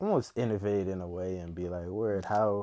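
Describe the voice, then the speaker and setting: A man speaks in a very deep, low voice with a dark, mellow tone. His intonation stays monotone and flat. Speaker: interview guest. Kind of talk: casual interview. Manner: halting, repetitive.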